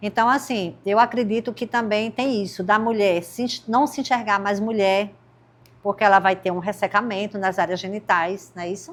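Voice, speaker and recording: Speaking at a moderate pace, a woman with a medium-pitched voice uses ordinary pitch variation in a plain, everyday voice. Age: 60s. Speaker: podcast host. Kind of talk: interview podcast.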